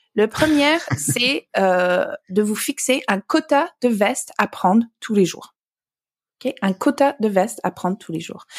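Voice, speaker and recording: With a fairly high pitch and very wide pitch swings, a woman speaks at a very slow pace in a dry, close sound with no echo. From Alberta, Canada. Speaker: author. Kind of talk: casual interview. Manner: halting.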